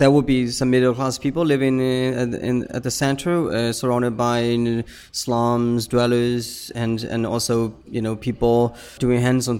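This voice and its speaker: A man speaks with a Burmese accent at a medium pitch. His intonation stays monotone and flat. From Myanmar, Yangon suburb. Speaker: poet and visual artist. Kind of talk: interview.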